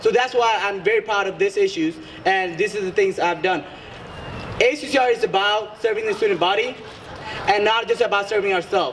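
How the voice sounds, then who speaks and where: Over noticeable background noise, a high-voiced man talks with ordinary pitch variation and long, frequent pauses. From Bangladesh. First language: Bengali. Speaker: student election candidate. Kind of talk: debate. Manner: hesitant, many fillers.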